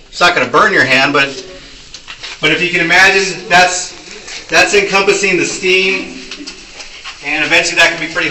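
Audible room echo and light background noise surround a man with a high pitch. He talks at a moderate pace with fairly even intonation. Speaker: tunnel tour guide. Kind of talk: guided tour explanation. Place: tunnel cave. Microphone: camera far.

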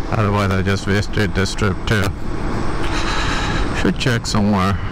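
A man at a moderate pace, the sound dry with no echo but with noticeable background noise. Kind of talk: casual vlog chat. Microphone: helmet.

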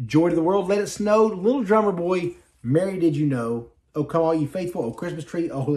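A man talks at a fairly quick pace in a high pitch, with a slightly mellow tone and ordinary pitch variation.

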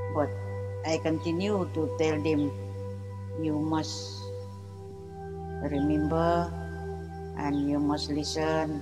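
Over clear background music, a woman speaks at a very slow pace with long, frequent pauses. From Penampang, Sabah, East Malaysia. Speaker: keeper of traditional knowledge. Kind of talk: interview answer. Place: garden.

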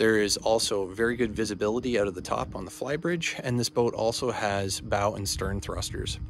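A man talking with hardly any pauses, ordinary pitch variation, a dry sound with no echo and light background noise. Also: fairly low pitch for a man, fairly quick pace. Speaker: yacht salesman. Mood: friendly, upbeat. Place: waterside. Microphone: phone near.

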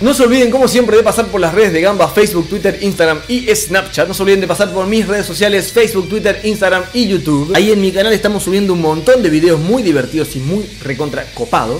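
A man at a very fast pace and high pitch, ordinary pitch variation, hardly any pauses, and music in the background. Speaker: gaming video host. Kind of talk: casual vlog chat. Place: home room.

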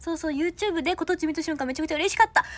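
Speech in a Kansai accent rushes by at a very fast pace. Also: woman. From Osaka. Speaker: idol trainee; idol trainee livestreamer. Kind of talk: livestream chat with viewers. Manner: animated. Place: home room. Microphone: phone near.

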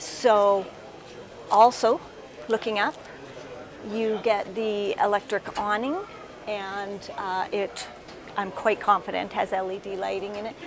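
A woman speaks with fairly even intonation and long, frequent pauses. Noticeable background noise runs underneath. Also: fairly slow pace. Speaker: RV reviewer. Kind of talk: casual tour commentary. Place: hall. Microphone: lapel.

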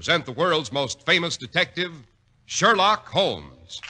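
A man with a high pitch and a bright, sharp tone, at a fairly slow pace over a quiet background. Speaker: radio announcer. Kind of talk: radio commercial and announcer narration. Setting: studio. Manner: smooth, polished, formal sales-pitch delivery. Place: studio. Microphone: old recording.

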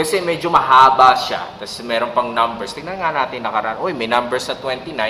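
A man at a moderate pace with lively intonation, noticeable background noise and audible room echo. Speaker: Korean language teacher. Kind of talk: tutorial. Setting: office.

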